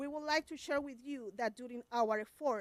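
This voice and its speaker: The recording has a dry, close sound with no echo. A woman with a Spanish accent speaks at a moderate pace in a high pitch, with ordinary pitch variation. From Puerto Rico. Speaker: special education teacher. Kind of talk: public comment at school board meeting. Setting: school board meeting. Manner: reading prepared statement.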